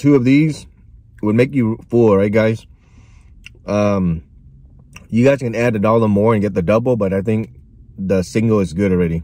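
A man's dark, mellow voice, fairly low in pitch, with ordinary pitch variation, a moderate pace, long, frequent pauses and a dry sound with no echo. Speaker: food reviewer. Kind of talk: casual vlog chat. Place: car. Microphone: phone near.

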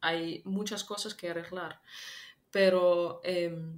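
Speaking at a very slow pace, a woman uses a fairly low, flat monotone. She has a slight non-native accent. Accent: slight foreign. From Ukraine. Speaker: political analyst; interview guest. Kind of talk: interview. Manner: halting, many fillers. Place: home room.

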